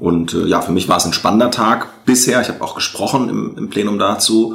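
There is noticeable noise in the background. A man talks with audible echo from the room around him. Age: 30s. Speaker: member of parliament. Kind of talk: interview.

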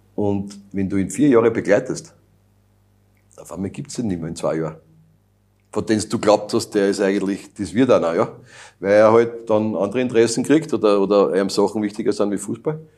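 Over a silent background on a very clean recording, a man with a dark, mellow tone and fairly low pitch talks at a fairly quick pace, leaving long, frequent pauses. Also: ordinary pitch variation. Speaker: youth national football coach. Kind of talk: interview.

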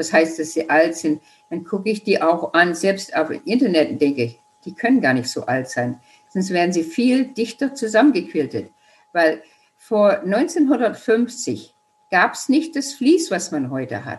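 Very wide pitch swings run through the speech. Its pace stays fairly slow. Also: woman, medium pitch for a woman. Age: 70s. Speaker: quilting teacher and author. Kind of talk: interview.

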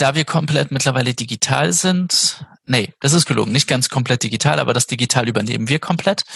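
An unremarkable speaking voice, this man's medium pitch carries lively intonation at a fairly quick pace, with very even loudness and a dry, close sound with no echo. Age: 30s. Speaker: games company project manager. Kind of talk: interview.

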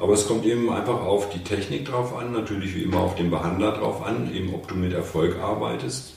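Over noticeable background noise and audible room echo, a man with a very deep, low voice talks at a moderate pace, his pitch swinging very widely. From northern Germany, Hannover. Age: 60s. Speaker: physiotherapist. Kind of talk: casual interview.

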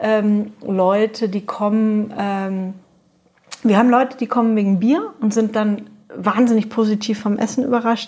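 A woman's fairly high voice, an unremarkable speaking voice, at a fairly slow pace with fairly even intonation. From Franconia, Germany. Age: 30s. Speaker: brewery co-founder and restaurateur. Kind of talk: interview conversation.

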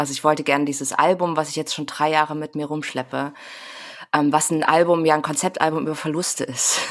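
A woman speaks very fast in a very deep, low voice. Her intonation stays monotone and flat. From Saxony, eastern Germany (Grimma). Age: 30s. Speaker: singer-songwriter. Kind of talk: casual chat. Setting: home office, remote.

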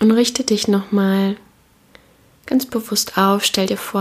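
A woman's gentle, warm, somewhat breathy voice at medium pitch, monotone and flat, at a fairly slow pace. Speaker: podcast host and meditation guide. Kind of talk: guided meditation. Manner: slow, calm, soothing; gentle, warm, with long pauses.

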